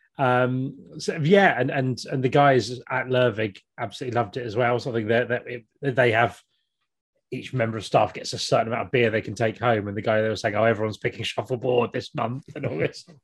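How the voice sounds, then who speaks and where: With a southern English accent, a man talks at a fairly quick pace and medium pitch, with ordinary pitch variation over a quiet background. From Kent, southern England. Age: 40s. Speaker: podcast co-host and YouTuber. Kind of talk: casual interview chat.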